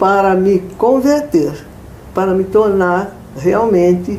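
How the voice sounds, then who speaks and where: Very slow speech from a woman, with noticeable background noise. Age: 80s+. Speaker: church member sharing faith testimony. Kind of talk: interview answer, personal testimony.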